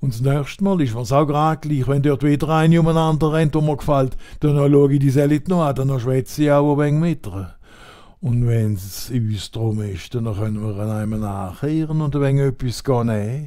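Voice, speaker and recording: With an Alemannic accent, a man speaks at a moderate pace in a fairly high, dark, mellow voice with ordinary pitch variation. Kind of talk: comic dialect monologue.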